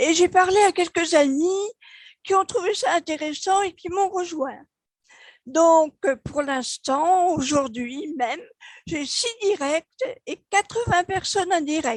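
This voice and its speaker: A woman speaks very slowly at an extremely high pitch, her intonation lively and the sound dry and close with no echo. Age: 70s. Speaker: network marketing member. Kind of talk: testimony. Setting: video call.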